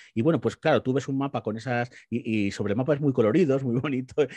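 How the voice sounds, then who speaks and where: The voice moves at a fairly quick pace with ordinary pitch variation, recorded dry with no echo against a quiet background. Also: man. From Spain, Guadalajara; Spain. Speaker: political commentator. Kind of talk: panel discussion. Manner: halting, many repetitions. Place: home room. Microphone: video call.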